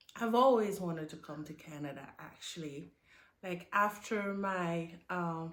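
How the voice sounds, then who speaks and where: A woman with a French accent, fairly slow in pace and fairly low in pitch, with ordinary pitch variation, big swings in loudness and audible room echo. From Burkina Faso. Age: 30s. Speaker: immigrant nurse. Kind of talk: casual interview. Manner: halting.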